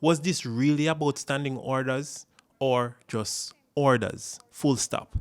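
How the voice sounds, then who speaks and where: A man with a plain, everyday voice speaks at medium pitch and a fairly slow pace, the sound dry and close with no echo in a very clean recording with a silent background. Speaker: political commentator. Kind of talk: political commentary to camera.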